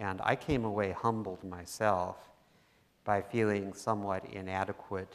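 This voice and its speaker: Fairly even intonation marks an ordinary speaking voice that keeps a moderate tempo. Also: man. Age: 60s. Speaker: author. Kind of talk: onstage interview. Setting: stage with audience.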